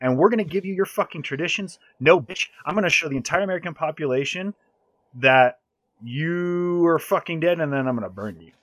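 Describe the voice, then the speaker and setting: This man talks at a fairly quick pace with lively intonation. His loudness swings widely. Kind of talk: heated debate, angry rant about the war on terror. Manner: loud, profane, fired-up and emphatic, ranting in long run-on sentences.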